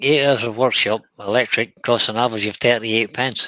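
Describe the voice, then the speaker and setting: A man with a Scottish accent speaks at a fairly quick pace in a bright, sharp tone. His intonation is fairly even, and the sound is dry and close with no echo. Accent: Scottish, kept after decades away. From Scotland. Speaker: co-host of woodturning livestream. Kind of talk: casual live-stream chat. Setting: workshop.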